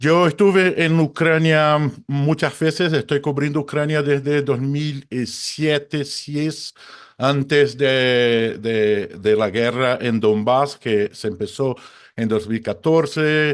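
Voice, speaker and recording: Very slowly, a man speaks at a fairly high pitch with ordinary pitch variation. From Brazil. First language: Portuguese (speaking Spanish). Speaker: photojournalist and conflict reporter. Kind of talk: webinar talk.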